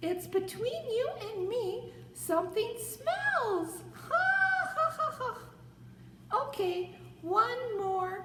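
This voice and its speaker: A cartoonish character voice at an extremely high pitch talks very slowly, with a slight echo and clear background noise. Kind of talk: puppet joke telling to camera. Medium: puppet. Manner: upbeat, excited.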